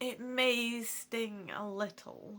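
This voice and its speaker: A female-sounding put-on character voice with a fairly high pitch for a woman. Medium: read story. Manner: genteel, cagey.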